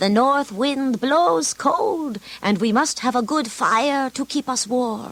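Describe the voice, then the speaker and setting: A put-on character voice from a woman, high in pitch, fairly slow, with very even loudness. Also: lively intonation. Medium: read story.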